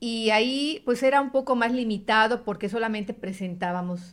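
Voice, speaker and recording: In a very clean recording with a silent background, a woman speaks with a fairly high pitch and ordinary pitch variation. Her pace is moderate, in a normal speaking voice. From Yucatán, Mexico. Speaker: radio announcer and journalist. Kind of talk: interview conversation.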